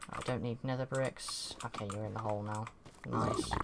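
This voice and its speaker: Noticeable noise sits in the background. The speaker talks at a moderate pace. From Britain. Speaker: streamer. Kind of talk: casual gameplay commentary. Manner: casual, rambling with fillers.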